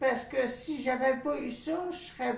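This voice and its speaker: A woman's high-pitched voice, with noticeable background noise and audible room echo. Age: 70s. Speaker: home care client. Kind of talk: interview testimony.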